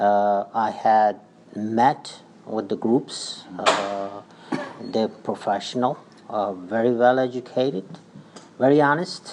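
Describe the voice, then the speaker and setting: At a very slow pace, a man of medium pitch speaks with ordinary pitch variation. His pauses are long and frequent. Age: 60s. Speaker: community organization leader, election candidate. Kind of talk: radio interview. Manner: halting.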